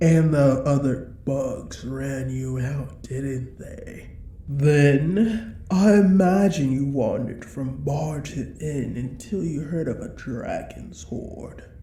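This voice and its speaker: A woman puts on a menacing character voice, very deep and low in pitch. She speaks at a very slow pace. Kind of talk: audio roleplay. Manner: menacing, condescending.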